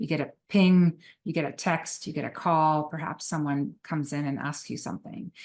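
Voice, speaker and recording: Against a quiet background, a woman with a French Canadian accent speaks at a moderate pace with a very deep, low pitch and ordinary pitch variation. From Quebec. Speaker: psychotherapist and trainer. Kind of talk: recorded webinar lecture.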